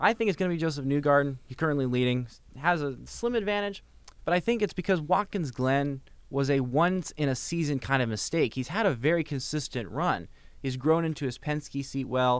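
With a plain, everyday voice, a man talks at a fairly quick pace in a fairly high pitch and with lively intonation. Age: young. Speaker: college radio host. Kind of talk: radio interview. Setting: radio studio.

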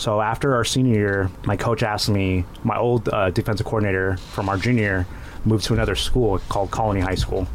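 A man with an American accent and a fairly low pitch, talking at a very fast pace with fairly even intonation and very even loudness over noticeable background noise. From Inland Empire, Southern California. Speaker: former high school football player and coach. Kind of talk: casual chat. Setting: studio.

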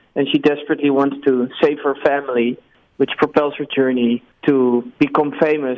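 In a Dutch accent, a man with a fairly high pitch speaks at a moderate pace, his intonation monotone and flat. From Netherlands. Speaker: film director and writer. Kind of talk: interview. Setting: remote call. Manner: halting, with repetitions.

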